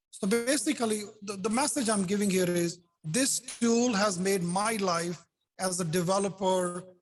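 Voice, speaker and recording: Over music in the background, a man speaks at a high pitch and moderate pace in an animated tone with ordinary pitch variation. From India. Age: 60s. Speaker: software developer. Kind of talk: casual chat. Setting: video call.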